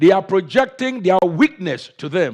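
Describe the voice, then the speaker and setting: A man with an African accent, high-pitched, with lively intonation, on a very clean recording with a silent background. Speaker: pastor. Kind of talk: sermon.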